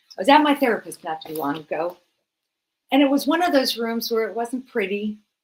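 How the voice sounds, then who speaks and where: A normal speaking voice with lively intonation at a fairly quick pace. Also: woman. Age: 60s. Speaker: health coach and speaker. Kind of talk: motivational speech. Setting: stage, livestreamed.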